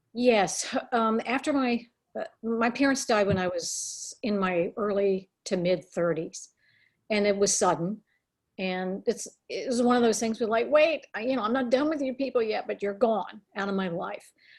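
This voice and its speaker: Her pitch fairly high and varying in an ordinary way, a woman with an unremarkable speaking voice talks at a moderate pace. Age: 60s. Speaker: children's book author. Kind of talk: interview.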